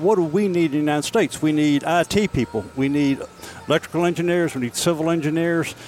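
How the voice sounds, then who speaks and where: A man talking at a very fast pace, ordinary pitch variation, noticeable background noise. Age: 70s. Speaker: retiree, political discussion participant. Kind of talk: casual chat. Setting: beer hall.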